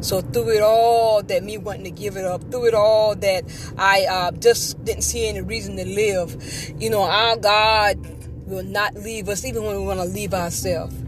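Noticeable background noise fills the recording. A woman speaks at a moderate pace. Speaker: podcaster sharing faith testimony. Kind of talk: testimony. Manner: halting.

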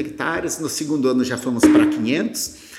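A man talks at a moderate tempo and with ordinary pitch variation, noticeable background noise all around. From Rio Grande do Sul, Brazil. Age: 50s. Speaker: agribusiness founder. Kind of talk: interview.

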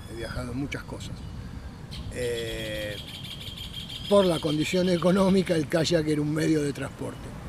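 A man with a fairly high-pitched voice talks at a fairly slow pace, leaving long, frequent pauses, with audible room echo and noticeable background noise. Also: ordinary pitch variation. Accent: Rioplatense. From Buenos Aires, Argentina. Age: 60s. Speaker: kayaker. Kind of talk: interview.

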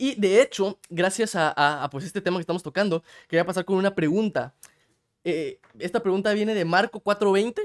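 In a very clean recording with a silent background and a dry, close sound with no echo, a man speaks in a high pitch with an animated tone and ordinary pitch variation. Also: moderate pace. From Guatemala. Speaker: podcast host. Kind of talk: casual chat.

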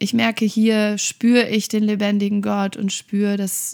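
This woman talks at a fairly slow pace. Her intonation stays flat and monotone. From western Germany, Oberbergisches Land (North Rhine-Westphalia). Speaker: church pastor. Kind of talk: casual interview.

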